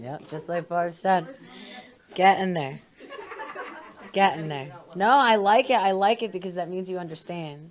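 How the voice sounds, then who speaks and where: Amid noticeable background noise, a woman with a medium pitch and ordinary pitch variation talks at a moderate pace, with long, frequent pauses and big swings in loudness. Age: 30s. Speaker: church member leading a talk on crystals. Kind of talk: casual talk to a church group. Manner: halting, many fillers.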